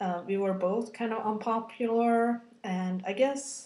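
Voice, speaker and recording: In a room with audible echo, a woman speaks in a somewhat breathy voice. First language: Scandinavian language. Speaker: video blogger. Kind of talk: personal video blog, testimony. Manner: rambling with many fillers; halting.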